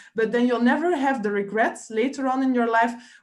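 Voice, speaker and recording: A woman speaks with a non-native accent. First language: not English. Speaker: online business coach. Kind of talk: live coaching webinar. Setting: live stream on Facebook. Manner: hesitant, many fillers.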